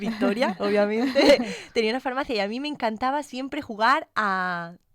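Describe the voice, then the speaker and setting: On a very clean recording with a silent background, a woman speaks at a moderate pace, her fairly high pitch showing ordinary variation. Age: 30s. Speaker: postdoctoral researcher, pharmacist. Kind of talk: casual podcast interview. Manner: hesitant, many fillers.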